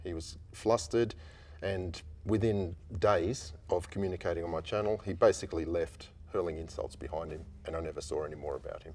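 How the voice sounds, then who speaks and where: Very deep and low-pitched, a man talks fairly quickly in a somewhat breathy voice, with ordinary pitch variation and big swings in loudness. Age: 60s. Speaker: airline and commercial pilot. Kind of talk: interview.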